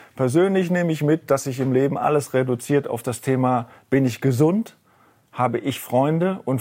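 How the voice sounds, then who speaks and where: Speaking fairly quickly, the man has a voice with a dark, mellow tone. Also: very clean recording, silent background. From Rhineland, Germany. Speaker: investment fund executive. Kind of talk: interview. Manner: halting.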